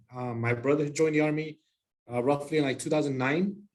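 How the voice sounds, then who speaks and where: His voice sits fairly high for a man. The man's intonation remains fairly even. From Texas, El Paso. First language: Spanish. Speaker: army soldier. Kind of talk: presentation.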